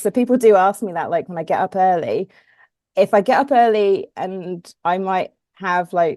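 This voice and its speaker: With an English accent, a woman talks at a moderate pace and medium pitch with ordinary pitch variation, the sound dry and close with no echo against a quiet background. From southern England (Portsmouth). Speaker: ultra runner. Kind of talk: casual interview chat. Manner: hesitant, with fillers.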